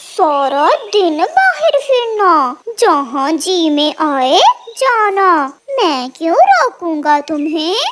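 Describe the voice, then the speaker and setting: Extremely high in pitch and very slow, this is a cartoonish character voice. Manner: smooth then menacing.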